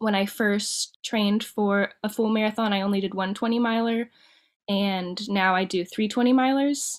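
An unremarkable speaking voice from a woman, fairly high in pitch, fairly slow and fairly even in intonation, with very even loudness on a very clean recording with a silent background. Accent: American. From Ohio, Dayton. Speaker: marathon runner and cosmetologist. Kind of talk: interview.

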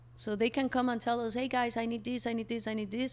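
A woman speaks with a Mexican accent. The recording is very clean, with a silent background. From Mexico. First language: Spanish. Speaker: co-founder of a refill store. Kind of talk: interview.

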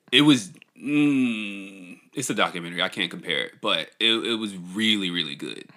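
Using a plain, everyday voice, a man with a fairly low pitch speaks at a moderate pace with lively intonation. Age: 30s. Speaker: podcast co-host. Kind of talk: casual chat.

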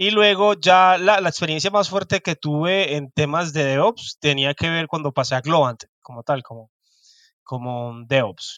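Bright and sharp in tone, a man's fairly high voice carries lively intonation and big swings in loudness. The sound is dry and close with no echo, against a quiet background. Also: fairly slow pace. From Colombian Caribbean coast. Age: 30s. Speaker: DevOps engineer. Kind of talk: interview.

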